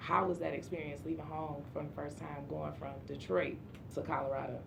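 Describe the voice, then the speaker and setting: A woman talks at a fairly quick pace with a Southern US accent, with noticeable background noise and audible room echo. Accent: Southern-sounding. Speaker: podcast host. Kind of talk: casual interview chat.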